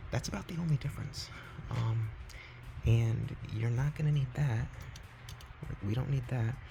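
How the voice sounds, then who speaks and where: A quiet male voice at a moderate pace. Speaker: console modder. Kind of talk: casual tutorial talk to camera.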